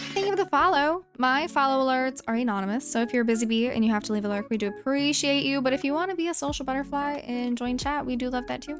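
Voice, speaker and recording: A woman speaks at a very fast pace with hardly any pauses. Her pitch is high with ordinary variation, and noticeable background noise can be heard. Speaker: gaming streamer. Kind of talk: casual live-stream chat while gaming.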